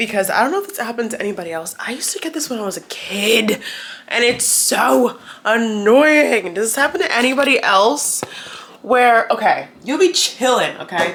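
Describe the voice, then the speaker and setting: Noticeable background noise sits behind a woman's fairly high-pitched voice. Her pitch swings very widely. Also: moderate pace. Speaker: vlogger. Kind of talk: casual vlog chat.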